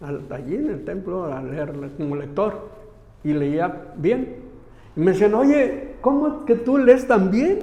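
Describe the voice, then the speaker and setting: A man with high pitch speaks with very wide pitch swings and big swings in loudness. Audible room echo surrounds his voice. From Mexico, Aguascalientes. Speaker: lay missionary. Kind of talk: interview. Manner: halting, with many repetitions and false starts.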